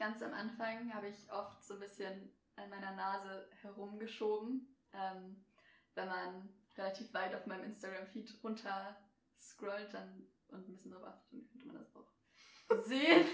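A somewhat breathy, medium-pitched woman's voice with ordinary pitch variation, big swings in loudness and audible room echo. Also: fairly slow pace. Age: 20s. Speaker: media student and freelance photographer. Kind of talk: casual interview chat.

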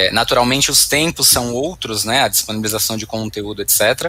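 This man speaks at a medium pitch. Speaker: IT professional and academic. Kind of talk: panel discussion. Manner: halting.

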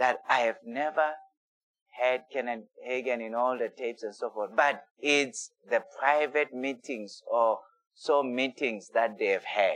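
With fairly even intonation and a fairly slow pace, this is a plain, everyday voice. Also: man, medium pitch for a man. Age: 50s. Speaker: pastor. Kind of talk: sermon.

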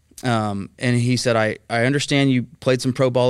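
In a very clean recording with a silent background, a man with a Texan accent speaks at medium pitch. His pace is fairly quick and his intonation fairly even. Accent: Texan American. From Texas, Dallas area (Mesquite). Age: 30s. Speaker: healthcare cost containment executive. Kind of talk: podcast interview.

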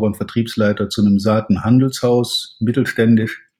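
At a moderate pace, a man with an ordinary speaking voice talks at medium pitch with fairly even intonation. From Germany, Rhineland (Cologne-Aachen area). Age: 50s. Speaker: sales trainer. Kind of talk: podcast interview.

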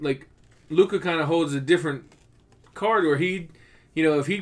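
A man's voice at a moderate pace, ordinary pitch variation, on a very clean recording with a silent background. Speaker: podcast host. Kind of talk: casual banter, sports podcast.

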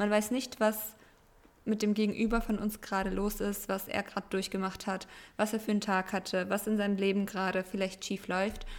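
A woman talks at a fairly quick pace with a medium pitch. Her intonation is monotone and flat, her loudness very even. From Germany. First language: Russian (speaking German). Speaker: podcast co-host. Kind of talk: casual chat.

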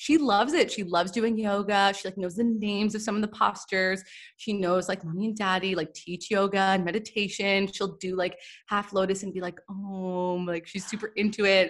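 A woman with a Canadian accent talks in a plain, everyday voice at a medium pitch with fairly even intonation. The recording is very clean, with a silent background. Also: moderate pace. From Canada, Toronto. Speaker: Ayurveda and yoga teacher. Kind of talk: casual interview chat.

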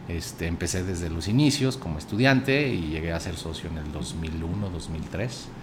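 Over music in the background and audible room echo, a man with a very deep, low pitch and a central Mexican accent talks at a moderate pace with lively intonation and hardly any pauses. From central Mexico (Zacatecas, raised in Aguascalientes from age 11). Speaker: accountant and investment fund director, former state finance secretary. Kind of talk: interview conversation.

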